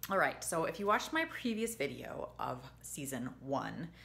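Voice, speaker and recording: Delivered at a moderate pace, the voice has a bright, sharp tone. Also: woman. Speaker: TV review vlogger. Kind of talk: casual vlog chat. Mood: disappointed, animated. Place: home room. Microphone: phone near.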